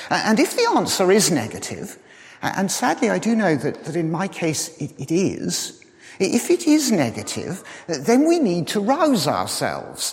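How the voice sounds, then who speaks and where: Noticeable background noise behind fairly slow speech. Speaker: lay preacher. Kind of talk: sermon. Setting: church. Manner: hesitant fillers.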